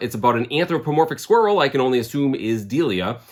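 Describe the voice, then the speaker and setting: This voice has lively intonation and speaks with a Boston accent. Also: man. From Boston area, Massachusetts. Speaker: comic book collector vlogger. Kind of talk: casual vlog narration. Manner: casual, conversational.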